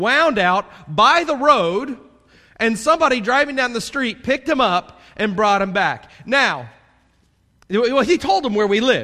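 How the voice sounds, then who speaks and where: With a Southern US accent, a man speaks in a raised, projected voice at a moderate pace. His tone is animated, bright and sharp, with lively intonation. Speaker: pastor. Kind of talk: sermon. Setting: church. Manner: loud.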